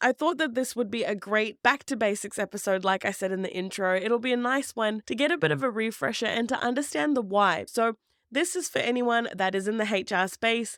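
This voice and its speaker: A woman with a New Zealand accent talks at a fairly quick pace and a fairly high pitch with lively intonation, in a very clean recording with a silent background and a dry, close sound with no echo. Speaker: employment law podcast host. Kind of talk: podcast talk.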